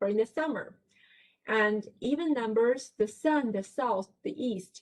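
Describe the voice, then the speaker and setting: A woman's fairly high voice in a Chinese accent, fairly slow in pace, with lively intonation. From China. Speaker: professor. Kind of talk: lecture.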